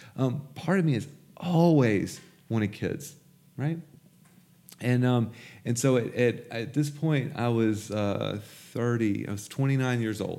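A dark, mellow voice in a Mississippi accent, at a fairly slow pace with ordinary pitch variation, long, frequent pauses and audible room echo. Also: man, medium pitch for a man. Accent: Southern US (Mississippi). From US South, Jackson, Mississippi. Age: 20s. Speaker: recovering addict sharing his story. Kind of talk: testimony.

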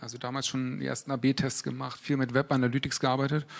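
A man talks at a very fast pace. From Berlin, Germany. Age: 30s. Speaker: e-commerce product manager. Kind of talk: live interview on stage.

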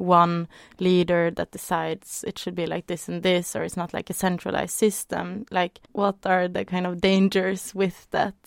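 A woman speaks at a moderate pace in a Norwegian accent, her pitch fairly low and her intonation monotone and flat. The recording is very clean with a silent background, and the sound is dry and close with no echo. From Norway. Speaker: dance artist and arts organizer. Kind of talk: casual chat.

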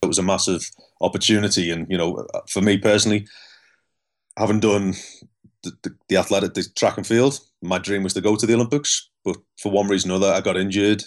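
A man with a fairly low pitch and fairly even intonation, very fast pace broken by long, frequent pauses, on a very clean recording with a silent background. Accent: Scouse. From Liverpool, England. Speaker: elite cyclist and performance psychologist. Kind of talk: interview storytelling.

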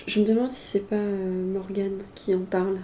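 With monotone, flat intonation, a woman speaks at a medium pitch and a moderate pace. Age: 30s. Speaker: sex worker. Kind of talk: casual interview conversation.

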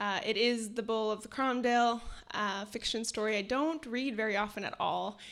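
A woman with a Canadian accent and an unremarkable speaking voice talks at a moderate pace. Her fairly high pitch varies in an ordinary way, on a very clean recording with a silent background. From northern Alberta, Canada (Cree). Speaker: writer and editor. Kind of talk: storytelling reading. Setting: stage with audience.

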